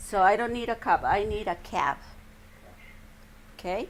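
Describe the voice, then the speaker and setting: Woman with a Spanish accent at a very slow pace. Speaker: English teacher. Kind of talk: classroom lesson. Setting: classroom with students.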